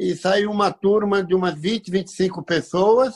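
This man's pitch is high. He is a man with a high voice. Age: 60s. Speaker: amateur runner, father of a co-host. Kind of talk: casual chat. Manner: halting.

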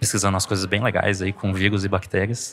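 A man is speaking. His pitch sits fairly low. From Brazil (Pará and Goiás). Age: 30s. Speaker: scientist and science podcaster. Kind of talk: casual interview conversation. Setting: café at a university library.

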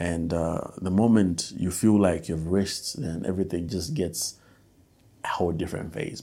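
A man with a Malawian accent talks at a moderate pace on a very clean recording with a silent background. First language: Nyanja. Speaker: musician and podcast host. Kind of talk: casual solo podcast monologue.

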